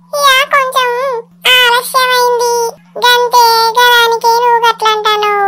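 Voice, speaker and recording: A cartoonish character voice at an extremely high pitch speaks at a fairly slow pace with fairly even intonation. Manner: chatty, teasing.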